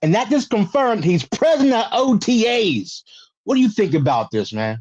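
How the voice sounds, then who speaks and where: Against a quiet background, a high-pitched man speaks with an American accent. His pace is fairly quick and his pitch swings very widely. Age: 40s. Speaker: podcast host. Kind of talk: casual chat.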